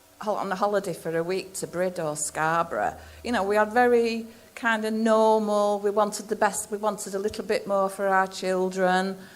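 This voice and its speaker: A woman with a South Yorkshire accent at medium pitch, moderate pace and ordinary pitch variation. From South Yorkshire, England. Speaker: miner's wife and strike activist. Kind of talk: public talk. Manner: halting.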